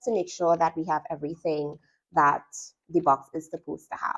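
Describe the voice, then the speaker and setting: A woman with a Trinidadian accent. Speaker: sewing instructor. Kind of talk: product review tutorial. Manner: casual, chatty.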